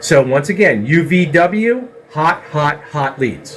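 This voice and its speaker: A man's lively intonation comes through noticeable background noise. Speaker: CNC systems technician. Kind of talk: tutorial.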